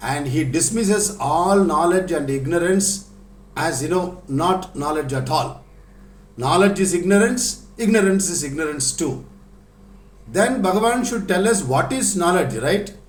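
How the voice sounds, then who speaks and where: A man with a Tamil accent speaks fairly slowly at a high pitch with lively intonation, over noticeable background noise and audible room echo. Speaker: spiritual teacher. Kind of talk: lecture.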